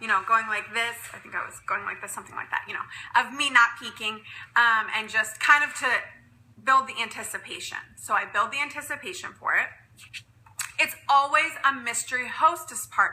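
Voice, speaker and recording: Her high voice rises and falls in an ordinary way as the woman talks. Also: fairly quick pace, big swings in loudness. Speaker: direct sales consultant. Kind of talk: live stream tutorial. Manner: fast.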